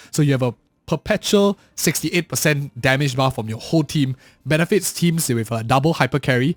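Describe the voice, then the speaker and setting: A man speaks fairly quickly in a somewhat breathy voice with ordinary pitch variation. The recording is very clean, with a silent background and a dry, close sound with no echo. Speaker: gaming video creator. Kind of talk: game commentary. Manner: casual.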